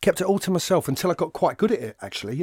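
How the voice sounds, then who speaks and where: A man in a London accent talks at a very fast pace with very wide pitch swings. The sound is dry and close with no echo, on a very clean recording with a silent background. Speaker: actor. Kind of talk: casual interview conversation. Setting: recorded at a college venue.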